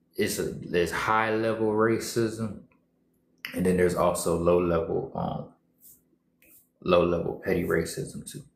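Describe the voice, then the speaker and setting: In a room with audible echo, a man talks at a fairly slow pace with long, frequent pauses. His intonation stays fairly even. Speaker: social media streamer. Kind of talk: casual livestream monologue. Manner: repetitive, emphatic.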